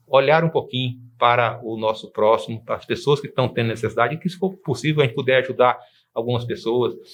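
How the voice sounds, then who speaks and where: The speaker is a man with a medium pitch. His pitch moves in an ordinary way. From Brazil, Anápolis, Goiás. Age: 60s. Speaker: lawyer. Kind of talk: TV interview. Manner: halting, self-correcting.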